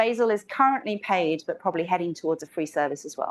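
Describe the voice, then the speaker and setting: A woman speaks at a very fast pace and medium pitch, her pitch varying in an ordinary way over a quiet background. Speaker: software developer conference speaker. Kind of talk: conference talk. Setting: stage with audience.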